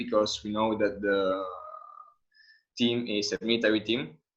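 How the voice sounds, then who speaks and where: Speaking with an Italian accent, a man keeps his intonation fairly even. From Italy. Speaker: skydiver. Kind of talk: webinar talk.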